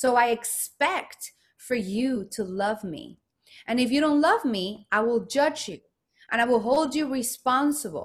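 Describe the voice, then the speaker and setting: A woman with a Spanish accent speaks at a fairly slow pace in a high pitch. Her tone is animated and her intonation lively. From Mexico, Guadalajara. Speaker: self-expression coach. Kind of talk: interview.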